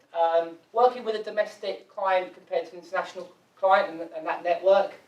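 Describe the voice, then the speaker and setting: The speaker has an English accent and a fairly quick pace. Pitch varies in an ordinary way. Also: man. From England. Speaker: foreign exchange company executive. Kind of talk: business presentation.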